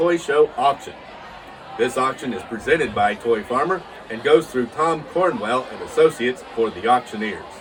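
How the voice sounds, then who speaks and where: A man with a fairly high pitch speaks at a moderate pace with lively intonation and big swings in loudness, over noticeable background noise. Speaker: YouTuber and toy collector host. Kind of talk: casual talk to camera.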